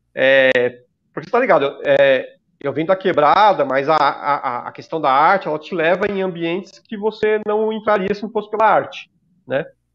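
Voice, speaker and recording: A man with a São Paulo accent, high-pitched, at a moderate pace with lively intonation. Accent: Paulistano Brazilian Portuguese. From São Paulo, Zona Leste. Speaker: podcast co-host, graffiti artist. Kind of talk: casual chat.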